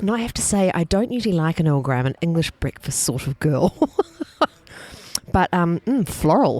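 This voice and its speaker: Over noticeable background noise, a woman with a New Zealand accent speaks at a moderate pace and a fairly low pitch, with very wide pitch swings and long, frequent pauses, the sound dry and close with no echo. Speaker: food festival organiser. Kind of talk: casual interview chat.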